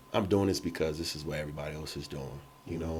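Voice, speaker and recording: A man speaks with an American accent. His intonation stays fairly even. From Chicago, US Midwest. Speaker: entrepreneur, mortgage lender and photographer. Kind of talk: podcast interview. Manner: casual, with many fillers.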